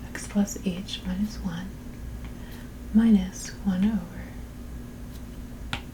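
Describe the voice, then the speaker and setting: Soft-spoken and very slow, a woman talks with long, frequent pauses over noticeable background noise. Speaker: calculus tutor. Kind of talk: math tutorial, working through a practice exam. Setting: busy street noise in background. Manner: soft-spoken, ASMR style.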